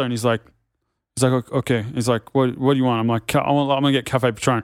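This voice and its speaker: In an Australian accent, a man speaks at a medium pitch. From Sydney northern beaches, Australia. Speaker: ex-pro skier and podcaster. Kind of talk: casual chat. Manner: animated.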